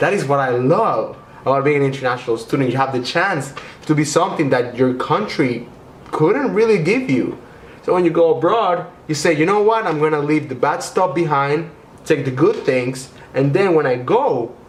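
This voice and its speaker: With a Spanish accent, a man speaks at a moderate pace in a fairly high, enthusiastic voice with lively intonation and very even loudness, pausing long and often. Noticeable background noise and audible room echo are present. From Venezuela. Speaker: YouTuber, international student. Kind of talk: vlog tips video. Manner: casual, enthusiastic.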